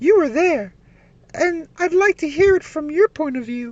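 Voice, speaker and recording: A woman uses a put-on character voice at an extremely high pitch. Her intonation is lively. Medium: read story. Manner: polite.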